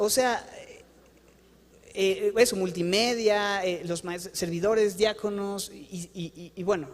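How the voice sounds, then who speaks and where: A man speaks at a high pitch with ordinary pitch variation. His tone is animated. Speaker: pastor. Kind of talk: sermon. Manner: fast.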